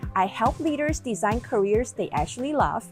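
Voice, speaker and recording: A woman speaks with a non-native accent. Music plays behind her. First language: not English. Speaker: executive coach. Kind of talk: casual talk to camera.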